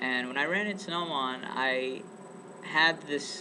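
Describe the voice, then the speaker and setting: Here a man speaks with an American accent at a medium pitch. Noticeable background noise is present. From US, East Bay California. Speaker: student. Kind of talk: casual interview for class project.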